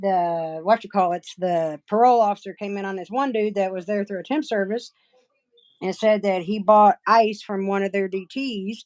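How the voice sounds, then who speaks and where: Here a woman talks with an Appalachian accent at a medium pitch and a moderate pace. Her pitch variation is ordinary, and the sound is dry and close with no echo. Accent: Appalachian accent, lighter than relatives'. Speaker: nail artist livestreamer. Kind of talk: casual chat. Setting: livestream.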